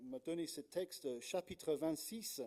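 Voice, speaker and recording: A man with a slight British accent talks very slowly at a fairly high pitch, his tone dark and mellow. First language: English (speaking French). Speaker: Anglican pastor. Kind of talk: sermon. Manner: hesitant, many fillers.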